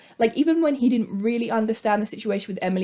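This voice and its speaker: Somewhat breathy and medium in pitch, a woman speaks with a British accent. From Britain. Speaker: youtuber. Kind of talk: casual commentary. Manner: animated.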